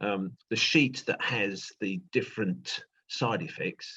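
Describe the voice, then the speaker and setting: With a British accent, a man talks at a medium pitch. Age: 60s. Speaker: retired teacher, interviewee. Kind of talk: interview. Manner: halting.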